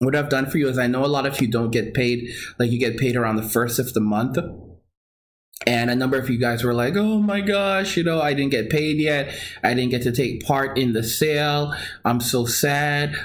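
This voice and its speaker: An animated man at a moderate pace, with very even loudness, ordinary pitch variation and audible room echo. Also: medium pitch for a man. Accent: American. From Long Island, New York. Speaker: crypto trading course seller and video host. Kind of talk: casual livestream talk with sales pitch. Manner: halting, many restarts and fillers.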